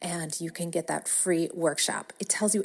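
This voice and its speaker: In a Wisconsin accent, a woman speaks at a moderate pace. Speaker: podcast host, business coach. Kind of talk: podcast monologue. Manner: casual, chatty.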